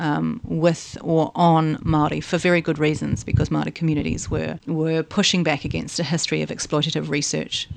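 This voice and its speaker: Hardly pausing at all, a woman talks in a New Zealand accent. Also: moderate pace. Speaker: anthropologist, senior lecturer. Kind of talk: interview conversation. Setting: university office.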